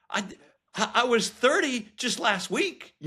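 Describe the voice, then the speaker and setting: Bright and sharp in tone, the voice is raised and projected, with lively intonation. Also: man. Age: 50s. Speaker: professor. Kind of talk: casual chat.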